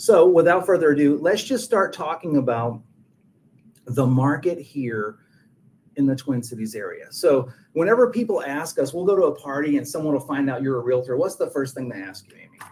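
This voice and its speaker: Talking at a fairly quick pace with a slight Texas accent, a man with a fairly high pitch uses lively intonation and big swings in loudness. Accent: slight Texas twang. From Texas, rural. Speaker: realtor. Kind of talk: webinar presentation. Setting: video call webinar.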